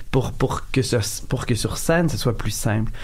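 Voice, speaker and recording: A man's medium-pitched voice at a fairly slow pace, lively in intonation, with audible room echo and noticeable background noise. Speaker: clown. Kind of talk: radio interview. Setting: radio studio.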